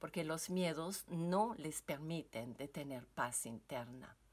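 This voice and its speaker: A woman speaks with a French Canadian accent in a very deep, low pitch. Her pace is very slow, and the recording is very clean with a silent background. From French Canada. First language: French (speaking Spanish). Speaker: yoga teacher and wellness coach. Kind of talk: recorded seminar talk. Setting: basement at home. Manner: halting, with many fillers.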